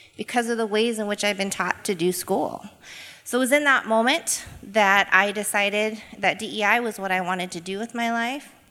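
An American accent with ordinary pitch variation comes through over noticeable background noise. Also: woman, medium pitch for a woman, moderate pace. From Boise, Idaho. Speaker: equity coach. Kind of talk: live panel talk. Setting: stage with audience.

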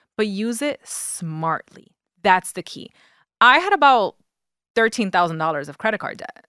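A woman with a New York accent, fairly high pitch and very wide pitch swings, bright, sharp tone, big swings in loudness, moderate pace with long, frequent pauses, dry, close sound with no echo, very clean recording with a silent background. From the Bronx, New York. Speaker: personal finance coach. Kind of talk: interview.

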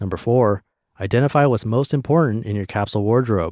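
Speaking at a very fast pace, a man with a medium pitch and ordinary pitch variation is heard on a very clean recording with a silent background. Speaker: podcast narrator reading blog posts. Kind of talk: reading aloud; casual monologue.

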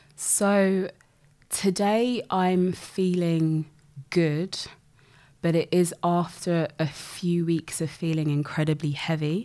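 In a British accent, a dark, mellow voice speaks at a very slow pace with fairly even intonation. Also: woman, fairly low pitch for a woman. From UK, grew up in one city. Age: 30s. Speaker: health researcher. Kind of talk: casual interview conversation.

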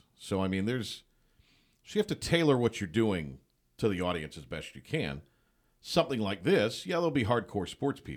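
A man speaks at a fairly quick pace in a fairly low voice with vocal fry, very wide pitch swings and long, frequent pauses. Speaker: play-by-play announcer. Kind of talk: casual chat. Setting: studio.

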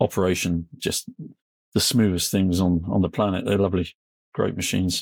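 Flat and monotone, a man speaks at a moderate pace in a very deep, low voice, with a dry, close sound and no echo. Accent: West Country. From England. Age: 60s. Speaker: construction machinery blogger and journalist. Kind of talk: casual interview chat.

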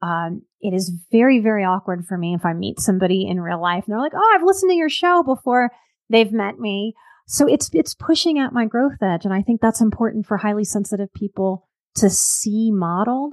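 A woman with an American accent talks at a fairly quick pace in an ordinary speaking voice, her pitch fairly high and her intonation lively. The sound is dry and close, with no echo. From US South, New Orleans. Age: 40s. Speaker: life coach and psychotherapist. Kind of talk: casual interview.

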